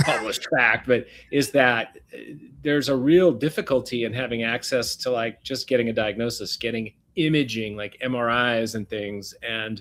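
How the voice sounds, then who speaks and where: A man with an unremarkable speaking voice talks at a moderate pace and medium pitch, with ordinary pitch variation. The recording is very clean, with a silent background. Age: 60s. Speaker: regenerative medicine doctor. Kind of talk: interview.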